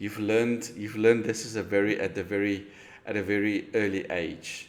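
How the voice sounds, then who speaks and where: Delivery is at a moderate pace with a monotone, flat intonation. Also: man, fairly low pitch for a man. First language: not English. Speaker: real estate agent. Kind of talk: sales call. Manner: halting.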